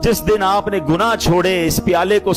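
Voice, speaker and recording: A man talks over noticeable background noise. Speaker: Islamic preacher giving a sermon. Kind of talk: Islamic lecture (bayan) to a live audience, storytelling and exhortation. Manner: emotional, earnest, preaching.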